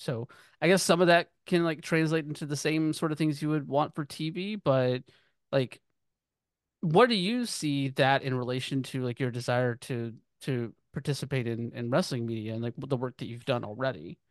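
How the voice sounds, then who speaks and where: In an ordinary speaking voice, a man with an American accent talks at a moderate pace, his pitch fairly high with ordinary variation, the sound dry and close with no echo against a quiet background. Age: 30s. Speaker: podcast host. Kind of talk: casual interview conversation.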